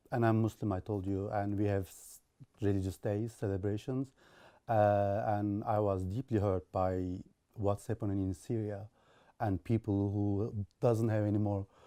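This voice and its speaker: On a very clean recording with a silent background, a man with a Turkish accent talks at a fairly low pitch in a dark, mellow tone. His intonation is monotone and flat, his loudness swings widely, and the sound is dry and close with no echo. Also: moderate pace. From Turkey (Istanbul). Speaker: IT specialist and charity volunteer. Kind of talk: interview testimony.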